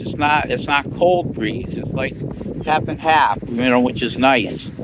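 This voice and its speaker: A man talks with lively intonation. There is noticeable background noise. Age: 60s. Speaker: recovering alcoholic vlogger. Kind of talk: casual vlog monologue. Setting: outdoors in a park. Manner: halting, many fillers and repetitions.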